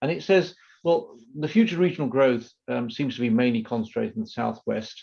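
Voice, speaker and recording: A man with a British accent speaks at a fairly quick pace and medium pitch. His tone is dark and mellow, with lively intonation. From Britain. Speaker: moderator, policy institute director. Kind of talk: moderating a panel webinar.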